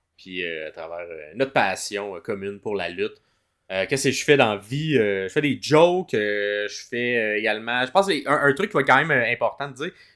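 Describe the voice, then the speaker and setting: A man with a Quebec accent at a medium pitch, bright and sharp in tone, with very wide pitch swings, big swings in loudness and a fairly quick pace, in a very clean recording with a silent background. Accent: Québécois French. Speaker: podcast co-host and comedian. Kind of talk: casual podcast chat.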